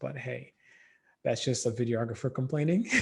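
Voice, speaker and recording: This man's voice sits at a medium pitch with a dark, mellow tone. It comes across as somewhat breathy. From Democratic Republic of Congo. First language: not English. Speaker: filmmaker, dancer and educator. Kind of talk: podcast interview answer.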